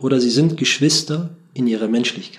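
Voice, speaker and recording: Speaking at a moderate pace, a man with a plain, everyday voice has a fairly high pitch and ordinary pitch variation. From Germany, Bremen. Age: 40s. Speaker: imam and interfaith dialogue worker. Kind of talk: interview.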